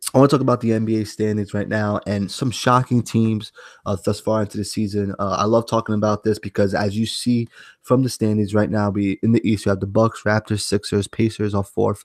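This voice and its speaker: A man with a New York accent, fairly low in pitch and flat, monotone in intonation, at a fairly quick pace, in a dry, close sound with no echo and a very clean recording with a silent background. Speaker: sports podcast host. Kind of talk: casual sports talk. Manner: halting, repeats words.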